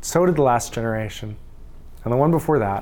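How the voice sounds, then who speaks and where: Audible room echo around a fairly quick pace. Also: man. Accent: Canadian. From Saskatchewan, Canada. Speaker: pastor. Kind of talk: sermon.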